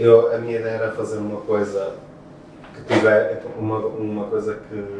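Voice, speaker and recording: In a room with audible echo and noticeable background noise, a man talks at a fairly slow pace. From Portugal, Porto. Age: 30s. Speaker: beatboxer. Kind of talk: interview. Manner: halting, many fillers and repetitions.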